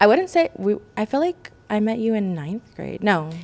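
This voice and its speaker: A woman talks at a moderate pace. Her pitch is fairly high. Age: 20s. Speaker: podcast co-host. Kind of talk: casual chat.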